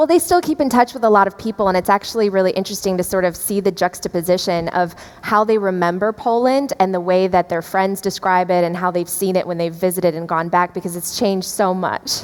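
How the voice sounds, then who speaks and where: With an American accent, a woman at medium pitch talks at a very fast pace with hardly any pauses and ordinary pitch variation, over noticeable background noise. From US Midwest, Chicago area. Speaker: podcast host and journalist. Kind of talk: interview. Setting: stage at an event.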